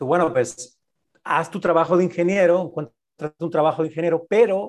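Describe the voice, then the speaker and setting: A man speaks in a high pitch. The recording is very clean, with a silent background. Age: 50s. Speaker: business coach and podcast co-host. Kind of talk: casual interview chat.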